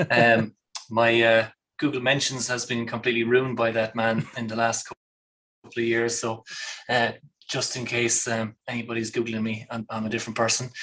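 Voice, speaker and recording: Monotone, flat intonation marks a man's medium-pitched voice with an Irish accent at a moderate pace. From Ireland. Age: 30s. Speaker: architect and father. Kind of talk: casual chat. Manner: halting, many fillers.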